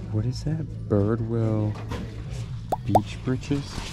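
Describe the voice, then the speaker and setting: Dry, with no echo, a man's voice moves at a fairly slow pace while music plays clearly in the background. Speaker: reseller vlogger. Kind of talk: casual vlog chat. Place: shop. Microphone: phone near.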